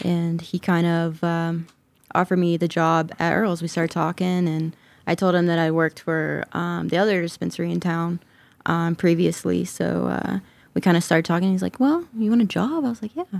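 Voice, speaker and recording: A woman's normal speaking voice, fairly low in pitch, with an American accent, a moderate pace, and fairly even intonation. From US South (Georgia). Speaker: cannabis grower. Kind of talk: casual interview chat.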